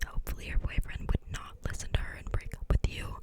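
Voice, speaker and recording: Noticeable background noise sits under a woman's whisper. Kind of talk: ASMR chat, advice talk to camera. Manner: whispered.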